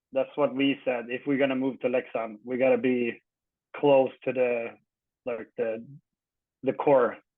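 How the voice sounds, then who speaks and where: A man with a Swedish accent talks in a flat monotone at a medium pitch, leaving long, frequent pauses. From Sweden, Örebro county (Guldsmedshyttan). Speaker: retired ice hockey player. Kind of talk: casual interview. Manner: halting.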